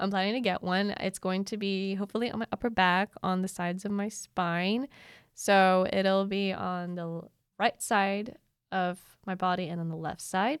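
A woman speaks at a moderate pace with a medium pitch and fairly even intonation, in a dry, close sound with no echo on a very clean recording with a silent background. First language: not English. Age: 20s. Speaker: podcast host, student. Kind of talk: solo reflective podcast monologue.

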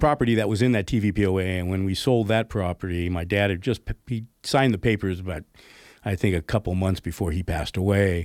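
An ordinary speaking voice from a man with an American accent, fairly low in pitch, with a dry, close sound and no echo. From Northern California, Oakland area. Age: 60s. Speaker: brewery owner and entrepreneur. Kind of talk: radio interview. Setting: radio studio.

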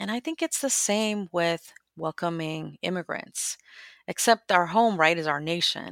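A woman with a normal speaking voice talks at a fairly slow pace and fairly low pitch with ordinary pitch variation, the sound dry and close with no echo on a very clean recording with a silent background. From Guatemala, raised in the US from childhood. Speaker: immigrant advocate and writer. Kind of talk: interview conversation.

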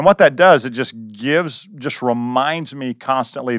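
This man has a plain, everyday voice at medium pitch, speaking at a moderate pace with ordinary pitch variation in a dry, close sound with no echo. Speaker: campus pastor. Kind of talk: casual discussion.

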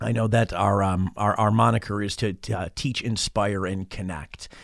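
A man with a western New York accent. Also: very clean recording, silent background. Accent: western New York American. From western New York (Rochester). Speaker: college radio operations manager. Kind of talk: interview. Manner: hesitant, many fillers.

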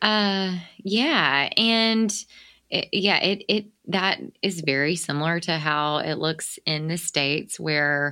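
In a Southern US accent, a woman speaks with a very deep, low pitch. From US South. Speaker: podcast host. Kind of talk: interview.

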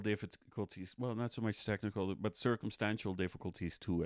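A man with a Dutch accent talks at a moderate pace with fairly low pitch. The recording is very clean, dry and close, with a silent background and no echo. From Netherlands, Amsterdam. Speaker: stand-up comedian. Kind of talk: casual chat.

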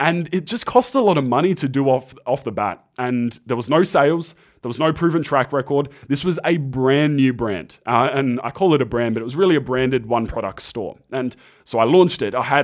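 A man with an Australian accent talks at a fairly quick pace in a fairly high voice, recorded very cleanly against a silent background. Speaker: podcast host, ecommerce entrepreneur. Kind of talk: solo monologue podcast. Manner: casual, conversational.

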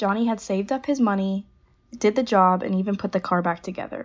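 With an American accent, a woman speaks very fast at a medium pitch with ordinary pitch variation. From Southern California, Pasadena. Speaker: naval academy student. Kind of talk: prepared narration of family history.

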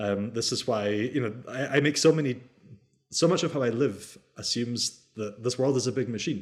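A man's medium-pitched voice with a Scottish accent, at a moderate pace, with ordinary pitch variation. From Scottish Highlands. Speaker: theology lecturer. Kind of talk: interview.

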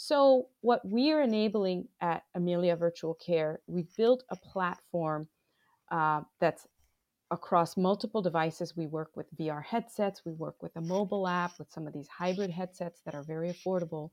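A woman with an American accent speaks at a moderate pace in an ordinary speaking voice, her fairly low pitch showing ordinary pitch variation. Her loudness swings widely. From Bangladesh and US. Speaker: digital health executive. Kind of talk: interview.

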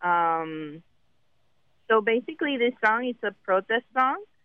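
A woman speaks with lively intonation. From Puerto Rico. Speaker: musician and acupuncturist. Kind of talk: interview. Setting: phone call.

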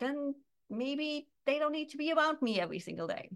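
A woman with a German accent speaks in a high voice. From Germany. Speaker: business coach. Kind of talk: interview. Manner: loud; animated.

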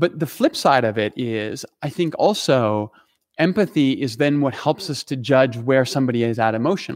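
Recorded very clean against a silent background, dry and close with no echo, a man at medium pitch with a plain, everyday voice speaks with lively intonation. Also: moderate pace. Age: 40s. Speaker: pastor. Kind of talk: casual chat.

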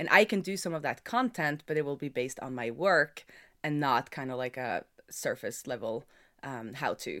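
Lively intonation marks this woman's speech in a Norwegian accent. Her pitch is very deep and low, and her pace moderate. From Norway. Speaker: software developer. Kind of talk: casual interview chat. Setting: remote call.

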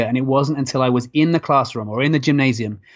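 A man's medium-pitched British accent at a very fast pace, with fairly even intonation. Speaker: health and physical education teacher. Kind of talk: interview conversation. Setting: at school.

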